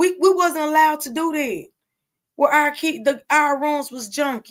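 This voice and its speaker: A woman speaks at a moderate pace in an animated tone. Her intonation is lively. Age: 40s. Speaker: podcast host. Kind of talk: casual monologue. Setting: studio.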